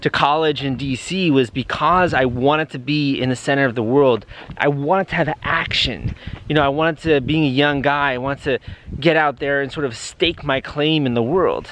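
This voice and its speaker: Against light background noise, a man speaks at a moderate pace with fairly even intonation, the sound dry with no echo. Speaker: vlogger. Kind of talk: casual vlog chat. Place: street. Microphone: phone near.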